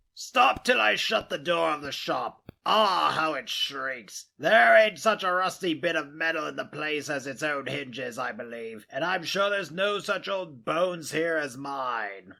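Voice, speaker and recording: Putting on a raspy character voice, a man speaks at a moderate pace with a fairly high pitch. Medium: read story. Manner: wheedling, haggling.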